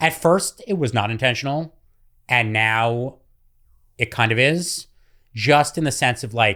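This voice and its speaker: A loud man with a bright, sharp tone, medium pitch and lively intonation, on a very clean recording with a silent background. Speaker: food content creator. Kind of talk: interview.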